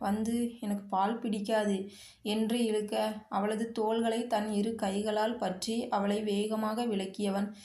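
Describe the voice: The clip is plain reading aloud.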